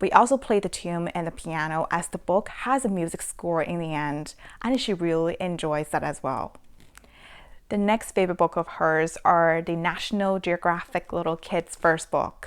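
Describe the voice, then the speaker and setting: In a very clean recording with a silent background, a woman with a Chinese accent speaks at a moderate pace in a warm, enthusiastic tone and a fairly low pitch. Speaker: parenting vlogger. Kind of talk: casual book review.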